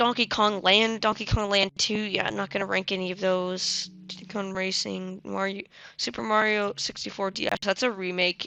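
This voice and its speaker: At a moderate pace, a woman speaks at medium pitch with a bright, sharp tone and ordinary pitch variation. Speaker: gaming youtuber. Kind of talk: casual tier list commentary. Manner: casual, hesitant with fillers.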